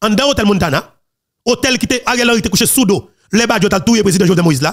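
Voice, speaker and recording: Talking at a fairly quick pace, a man with a Haitian accent uses lively intonation. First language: Haitian Creole (speaking French). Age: young. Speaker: political commentary channel host. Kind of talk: political commentary monologue.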